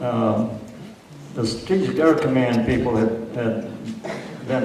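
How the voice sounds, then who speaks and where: A man's medium-pitched voice carries through audible room echo and noticeable background noise. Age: 80s+. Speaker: retired air force test pilot. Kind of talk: speech recounting career stories. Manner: hesitant, many fillers.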